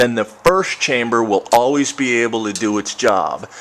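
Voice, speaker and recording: Noticeable noise sits in the background. A man talks at a moderate speed. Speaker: home distiller. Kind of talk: video tutorial. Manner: mumbling.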